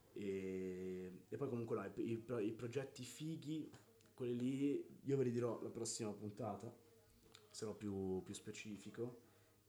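With audible room echo, a man talks at medium pitch and a fairly slow pace in a dark, mellow tone with ordinary pitch variation. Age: 20s. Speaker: podcast co-host. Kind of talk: casual chat. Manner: animated.

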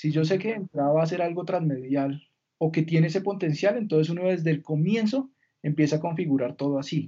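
At a fairly quick pace, a man talks in a normal speaking voice pitched fairly high, with ordinary pitch variation. His loudness stays very even. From Colombia, Villavicencio. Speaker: entertainment lawyer. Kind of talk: interview conversation.

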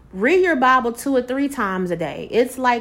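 A woman with a normal speaking voice, fairly high pitch and lively intonation at a moderate pace. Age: 40s. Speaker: inspirational podcast host. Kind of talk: casual devotional monologue. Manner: conversational.

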